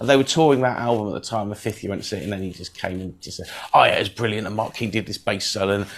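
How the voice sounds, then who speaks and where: A man talks with a fairly low pitch. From southwest England, Devon. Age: 50s. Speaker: musician, podcast patron. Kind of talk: interview, casual chat.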